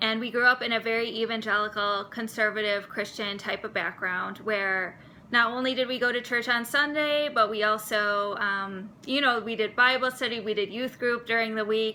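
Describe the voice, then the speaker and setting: Speaking at a moderate pace with hardly any pauses, a woman with a Wisconsin accent uses a fairly high pitch, fairly even intonation and a bright, sharp tone. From US Midwest, Milwaukee, Wisconsin. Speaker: seminary student. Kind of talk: personal vlog monologue.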